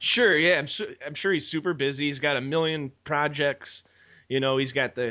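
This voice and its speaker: With a Chicago accent, a man speaks at a moderate pace. His pitch variation is ordinary. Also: fairly high pitch for a man. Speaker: podcast host. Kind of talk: interview.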